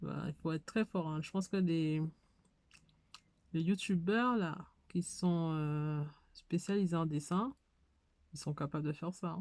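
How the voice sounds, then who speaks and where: Delivered at a fairly slow pace with long, frequent pauses and ordinary pitch variation, the speech sits on a very clean recording with a silent background. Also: woman, fairly low pitch for a woman. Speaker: hobby YouTuber. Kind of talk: casual tutorial. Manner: hesitant, many fillers.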